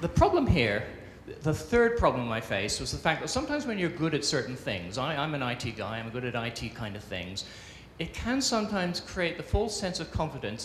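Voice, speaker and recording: Audible room echo and light background noise surround a man talking at a fairly quick pace. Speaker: conference presenter. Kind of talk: conference talk. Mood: humorous, self-deprecating. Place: stage. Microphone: handheld.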